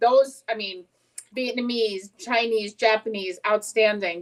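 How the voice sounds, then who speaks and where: A woman speaks at a moderate pace with an American accent and a fairly high pitch. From New Jersey. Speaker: cooking show co-host. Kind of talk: casual chat while cooking live. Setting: live stream.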